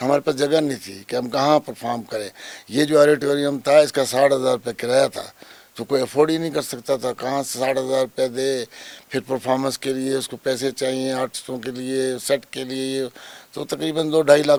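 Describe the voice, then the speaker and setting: Background noise is noticeable as a man speaks at a medium pitch and moderate pace. His intonation stays fairly even. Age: 70s. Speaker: theater director and actor. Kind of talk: interview.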